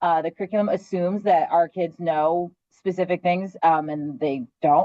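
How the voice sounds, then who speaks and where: Using an ordinary speaking voice, a woman with an American accent talks at medium pitch with ordinary pitch variation. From Philadelphia, US. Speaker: classroom teacher. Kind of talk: casual panel discussion.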